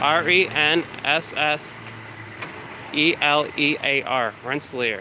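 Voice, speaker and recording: Noticeable background noise sits behind a man with an American accent and a fairly high pitch. He speaks at a very slow pace with very even loudness. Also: ordinary pitch variation. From upstate New York, Troy. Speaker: first amendment auditor. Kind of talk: casual vlog narration while filming.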